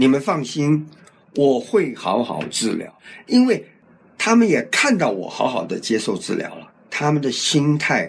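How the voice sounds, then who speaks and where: Speech unfolds at a fairly slow rate. Its pitch rises and falls across a very wide range. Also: man. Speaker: cancer survivor. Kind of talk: interview testimony. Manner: talkative.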